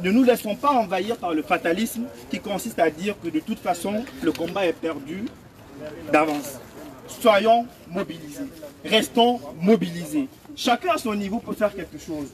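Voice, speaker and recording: Speaking at a moderate pace with long, frequent pauses, a man has a high voice and lively intonation, with noticeable background noise. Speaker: political activist. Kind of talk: rally speech. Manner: impassioned.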